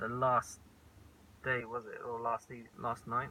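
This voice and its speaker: A man with an Essex accent, bright and sharp tone, medium pitch, fairly slow pace. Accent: southern English, Essex. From England (Colchester, Essex). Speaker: vlogger. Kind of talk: casual chat.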